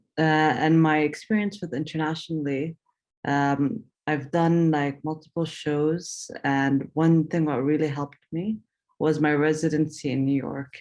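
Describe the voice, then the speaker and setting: A woman speaks at a fairly slow pace with a very deep, low pitch. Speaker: artist. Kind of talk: panel talk. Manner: halting, many fillers.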